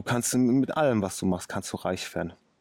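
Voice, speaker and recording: Speaking at a moderate pace, a man uses a medium pitch with ordinary variation. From Ruhr area, Oberhausen. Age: 30s. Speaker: car mechanic and day trader. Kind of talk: casual interview. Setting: outdoors.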